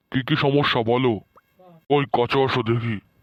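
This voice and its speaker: In a cartoonish character voice, a man speaks at a medium pitch and a moderate pace. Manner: casual, offhand.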